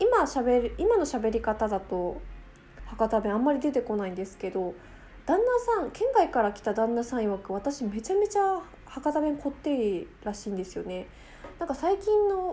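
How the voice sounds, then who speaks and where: A woman with a high pitch makes very wide pitch swings, with noticeable background noise around her. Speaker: podcast host. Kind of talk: casual monologue. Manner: fast talker.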